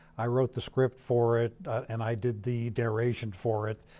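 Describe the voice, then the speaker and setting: A man speaks at a medium pitch and a fairly slow pace, his tone dark and mellow. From US Midwest, Ohio. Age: 70s. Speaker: independent filmmaker and author. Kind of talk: television interview.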